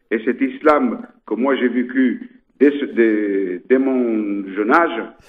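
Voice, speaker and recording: A man uses ordinary pitch variation while talking at a very slow pace. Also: medium pitch for a man. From Ceuta, North Africa (Spanish enclave). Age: 70s. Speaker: mosque rector. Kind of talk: radio interview. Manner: halting, many repetitions.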